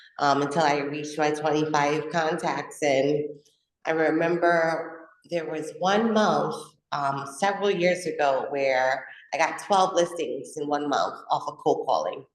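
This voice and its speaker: A woman's very deep, low voice at a fairly slow pace, with fairly even intonation and audible room echo. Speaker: real estate agent. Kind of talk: casual interview chat. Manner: loud.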